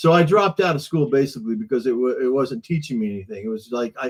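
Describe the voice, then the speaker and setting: Talking at a very fast pace, a man uses a medium pitch. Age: 70s. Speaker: musician and studio owner. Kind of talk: casual chat. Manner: halting.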